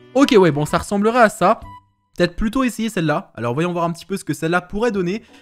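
A man is speaking. Music plays faintly behind him. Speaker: gaming video creator. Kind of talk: casual gameplay commentary.

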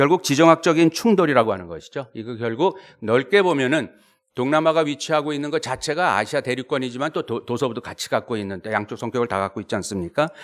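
Against a quiet background, a man speaks at a very fast pace with fairly high pitch and lively intonation. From South Korea. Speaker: professor. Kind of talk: academic presentation. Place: meeting room. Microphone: podium.

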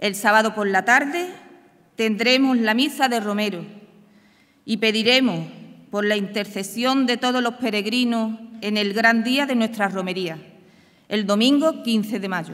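Against a quiet background, a woman speaks with a fairly high pitch and ordinary pitch variation. Her speech has long, frequent pauses. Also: fairly slow pace. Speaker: brotherhood organizer announcing. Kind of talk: formal ceremonial announcement; formal ceremonial speech. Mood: warm, grateful. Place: stage. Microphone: podium.

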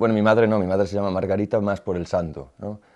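A man with a fairly low-pitched voice speaks over a quiet background. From Galicia, Spain (Boiro); Galicia, Spain. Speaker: visual artist; interviewee. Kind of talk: interview; interview answer. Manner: halting, with repetitions. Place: studio.

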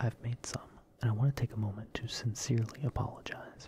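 Someone whispers at a fairly quick pace. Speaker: ASMR content creator. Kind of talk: soft ASMR monologue, parody apology. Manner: soft, mock-sincere close-mic voice. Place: home room. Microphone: studio mic.

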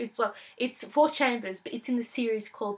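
A woman speaks at a fairly high pitch. Her pitch shows ordinary variation. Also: fairly bright tone.

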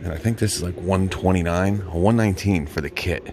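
Music plays in the background as a man talks. His pitch is very deep and low, and his intonation fairly even. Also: dry sound with no echo. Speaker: tool reviewer. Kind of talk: casual vlog commentary. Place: shop. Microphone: phone near.

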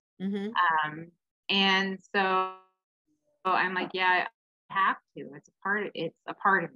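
Speaking fairly slowly in a Pacific Northwest accent, a woman has a bright, sharp tone and fairly even intonation. She leaves long, frequent pauses over light background noise. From Washington State, Kitsap County; Washington State. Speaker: domestic violence advocate and speaker. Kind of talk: interview. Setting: video call. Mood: earnest, reflective. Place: home room. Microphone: video call.

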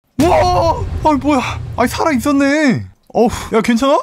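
A high-pitched cartoonish character voice at a moderate pace. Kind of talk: comedic cartoon dub.

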